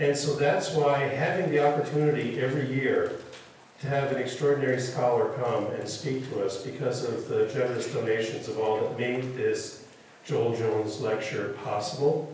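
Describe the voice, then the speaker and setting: The speech moves at a moderate pace with ordinary pitch variation. Strong room echo and light background noise are present. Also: man. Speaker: university official introducing lecture. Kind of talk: introductory speech. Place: hall.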